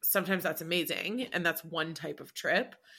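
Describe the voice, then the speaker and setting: In a Canadian accent, a woman with a fairly low pitch and a bright, sharp tone speaks at a moderate pace with ordinary pitch variation. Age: 30s. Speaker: podcast co-host. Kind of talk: casual chat.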